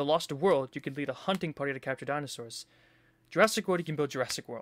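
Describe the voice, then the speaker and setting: The speech comes at a very fast pace with ordinary pitch variation. The recording is very clean with a silent background, and the sound is dry and close with no echo. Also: man. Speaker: gaming video creator. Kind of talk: trailer reaction commentary. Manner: animated.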